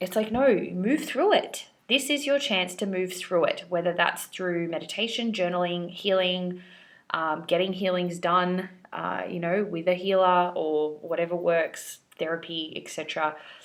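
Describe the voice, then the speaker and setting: A woman at medium pitch with an ordinary speaking voice and ordinary pitch variation. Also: fairly slow pace. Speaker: tarot reader. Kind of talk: tarot reading. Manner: casual.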